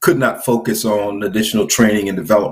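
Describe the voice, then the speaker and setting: His voice has a somewhat breathy quality. The man talks fairly quickly. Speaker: business trainer. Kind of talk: interview.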